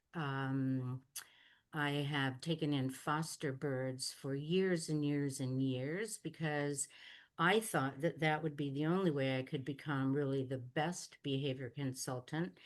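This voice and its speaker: A woman speaks in a very deep, low voice with ordinary pitch variation against a quiet background. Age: 70s. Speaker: parrot behavior consultant. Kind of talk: live webinar Q&A. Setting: video webinar over internet.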